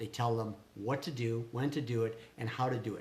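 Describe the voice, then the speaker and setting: A man speaks in a somewhat breathy voice. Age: 60s. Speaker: small business owner, vlogger. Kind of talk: casual chat. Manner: animated.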